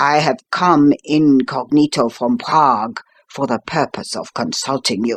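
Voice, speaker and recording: A man does a put-on character voice, raspy and fairly high in pitch for a man. His intonation is lively and his pace moderate. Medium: read story. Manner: formal, imperious.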